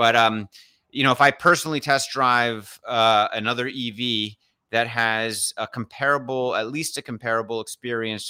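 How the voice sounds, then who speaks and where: A man's ordinary speaking voice at medium pitch and moderate pace, fairly even in intonation, with a dry, close sound and no echo. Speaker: investing podcast host. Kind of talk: casual live-streamed market discussion. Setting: live stream online.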